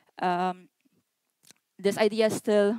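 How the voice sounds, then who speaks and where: With a Polish accent, a woman speaks at medium pitch in a monotone, flat intonation, the sound dry and close with no echo. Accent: non-Swedish foreign accent (Polish). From Poland. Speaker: activist and community organizer. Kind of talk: lecture.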